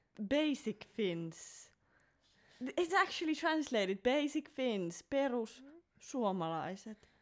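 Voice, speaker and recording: Speaking very slowly with a Finnish accent, a woman uses a high pitch and very wide pitch swings. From Finland. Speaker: podcast co-host. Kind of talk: casual chat.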